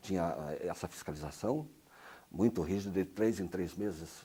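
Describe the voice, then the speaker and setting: A man's very deep, low voice with a dark, mellow tone, lively intonation and a moderate pace. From Brazil, Paraná. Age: 60s. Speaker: retired radio announcer. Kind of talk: interview answer.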